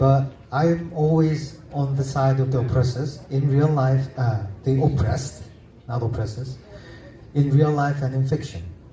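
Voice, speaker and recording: With a Korean accent, a man talks at a fairly slow pace and a medium pitch, his dark, mellow tone somewhat breathy and his pitch variation ordinary, with audible room echo around him. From South Korea. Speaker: novelist. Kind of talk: literary festival panel discussion. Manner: halting, self-correcting.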